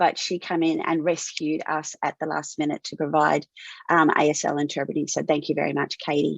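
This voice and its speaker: A woman talks at a fairly quick pace in dry, close sound with no echo. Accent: Australian. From Australia. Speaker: webinar host, tech company CEO. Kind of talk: webinar moderation.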